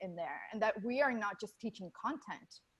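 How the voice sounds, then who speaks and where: This woman's somewhat breathy voice has lively intonation. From Venezuela. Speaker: university teaching director. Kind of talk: interview.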